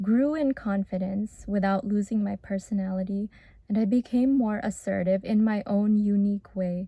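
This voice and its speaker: Soft-spoken and somewhat breathy, a woman speaks at medium pitch and a moderate pace with ordinary pitch variation and a dark, mellow tone. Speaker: former medical student. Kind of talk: reflective talk to camera.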